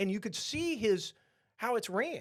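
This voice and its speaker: A man with a Texan accent speaks in an animated tone. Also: very clean recording, silent background. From Texas. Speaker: podcast host, restaurant franchise owner. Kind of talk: casual chat. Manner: repetitive, stammering.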